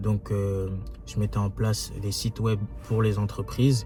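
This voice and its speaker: The speaker is a man. His pitch is fairly low. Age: 20s. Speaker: young entrepreneur, YouTuber. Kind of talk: casual vlog monologue. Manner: hesitant, many fillers.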